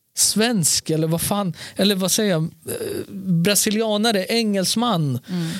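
Speaking at a very slow pace with hardly any pauses, a man uses lively intonation and a high pitch against noticeable background noise. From born in Serbia, moved to Sweden around age four. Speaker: podcast co-host. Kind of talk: casual chat. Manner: animated.

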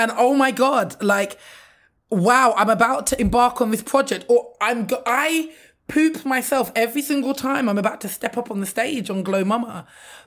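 A woman's high-pitched voice with ordinary pitch variation at a moderate pace. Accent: London. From London, England. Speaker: maternal health advocate. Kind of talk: casual interview.

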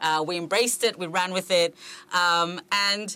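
A woman's voice has a fairly low pitch and a bright, sharp tone. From South Africa. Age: 50s. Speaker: agency founder and CEO. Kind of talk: interview.

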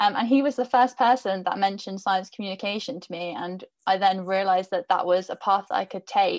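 A woman with an ordinary speaking voice talks at a fairly quick pace with hardly any pauses, her pitch medium with ordinary variation. Her loudness swings widely over a quiet background. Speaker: podcast host and editor. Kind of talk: moderated panel discussion.

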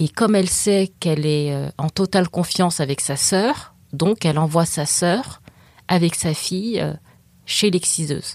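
In a very clean recording with a silent background, a woman with a plain, everyday voice talks at a fairly slow pace, her pitch fairly low with ordinary variation. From France, African heritage. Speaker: writer, excision survivor. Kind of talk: interview.

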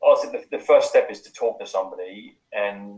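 The pace here is fairly quick. The speaker uses an English accent. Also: man. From UK. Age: 50s. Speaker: life coach and former police officer. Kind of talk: podcast interview.

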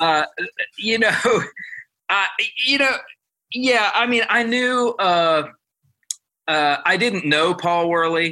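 Speaking very slowly with long, frequent pauses, a man uses a raised, projected voice that is high for a man and bright and sharp in tone, with lively intonation and very even loudness. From Ohio, near Columbus. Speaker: guitar player. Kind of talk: casual chat.

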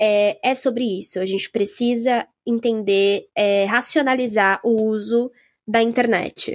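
With a normal speaking voice, a woman talks at a fairly high pitch, her intonation fairly even. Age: 20s. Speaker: podcast host. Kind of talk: casual chat.

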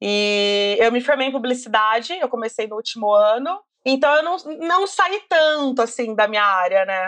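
This woman's fairly high voice swings very widely in pitch at a moderate pace. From Brazil, Campinas (São Paulo state). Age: 30s. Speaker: beauty content creator. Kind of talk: casual interview chat.

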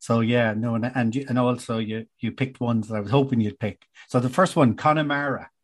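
Against a quiet background, a man with an Irish accent talks at a fairly quick pace and medium pitch, his intonation fairly even and with hardly any pauses. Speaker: podcast host. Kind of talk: casual interview.

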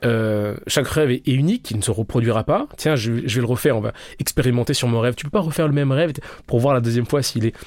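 This man talks very fast, with a medium pitch and ordinary pitch variation. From France, Paris suburbs (Val-de-Marne). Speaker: sociologist. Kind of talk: interview. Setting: studio.

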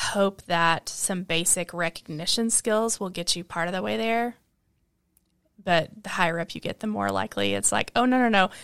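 The speaker has a plain, everyday voice and keeps a moderate pace. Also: woman, very clean recording, silent background. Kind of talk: casual chat.

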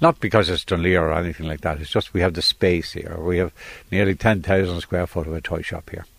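Speaking at a very fast pace, a man uses a very deep, low pitch and fairly even intonation. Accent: Irish. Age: 70s. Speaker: toy shop owner. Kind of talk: interview. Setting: in a shop.

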